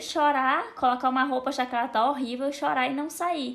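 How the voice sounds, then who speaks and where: Pitch variation here is ordinary. The pace is fairly quick. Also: woman. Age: 20s. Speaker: content creator. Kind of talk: casual chat.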